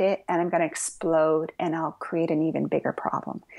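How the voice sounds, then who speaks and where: A woman speaks at a moderate pace with vocal fry. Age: 60s. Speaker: Zen Buddhist priest and author. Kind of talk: interview. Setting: podcast interview. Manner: conversational with frequent fillers.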